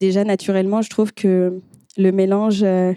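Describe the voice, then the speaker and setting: In a very clean recording with a silent background, a woman speaks at medium pitch and a moderate pace with a dark, mellow tone, monotone, flat intonation, and a dry, close sound with no echo. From France, Nantes (Brittany). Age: 20s. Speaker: event host and former therapist. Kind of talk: panel discussion.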